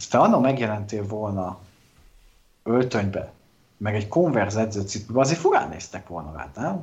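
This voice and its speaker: With long, frequent pauses at a moderate pace, a somewhat breathy man of fairly low pitch uses lively intonation and big swings in loudness. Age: 30s. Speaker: political podcast co-host. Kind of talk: casual political chat.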